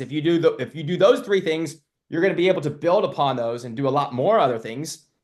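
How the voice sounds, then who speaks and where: Here a man talks at a fairly quick pace, his fairly high pitch showing ordinary variation. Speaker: marketing coach for loan officers and realtors. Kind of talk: live webinar. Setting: live webinar. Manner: loud; animated.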